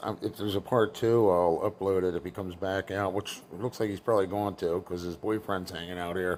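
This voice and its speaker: Talking fairly quickly with hardly any pauses, a man has a plain, everyday voice, fairly low in pitch, with fairly even intonation. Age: 60s. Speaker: vlogger filming neighbors. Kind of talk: casual running commentary. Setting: indoors at apartment door. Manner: sarcastic, mocking.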